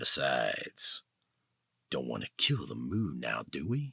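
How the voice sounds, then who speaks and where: Putting on a character voice, a man with a fairly low pitch speaks at a fairly slow pace with big swings in loudness, the sound dry and close with no echo. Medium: read story. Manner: cocky, streetwise.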